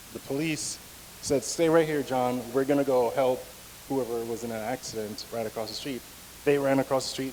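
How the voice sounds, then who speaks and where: Against noticeable background noise, a man talks at a moderate pace and medium pitch with ordinary pitch variation. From Jamaica. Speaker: speaker at a men's breakfast. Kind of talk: personal testimony talk. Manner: conversational, many fillers.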